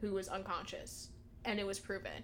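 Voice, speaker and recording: A woman's normal speaking voice, medium in pitch, at a fairly quick pace. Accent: American. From United States. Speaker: podcast co-host. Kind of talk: casual chat podcast.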